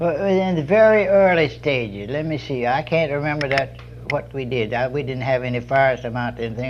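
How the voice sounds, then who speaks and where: A man with an American accent at medium pitch and moderate pace, ordinary pitch variation, over noticeable background noise. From Georgia, USA. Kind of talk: oral history interview answer.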